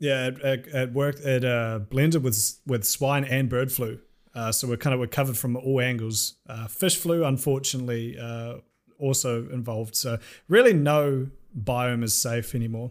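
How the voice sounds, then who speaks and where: A man with a New Zealand accent, at medium pitch and moderate pace, with fairly even intonation. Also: very clean recording, silent background. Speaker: YouTuber. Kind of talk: casual chat.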